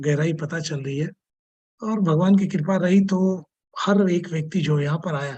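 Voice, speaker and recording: A dark, mellow tone carries fairly even intonation. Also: man, high pitch for a man, moderate pace. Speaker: call moderator. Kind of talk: online call moderation.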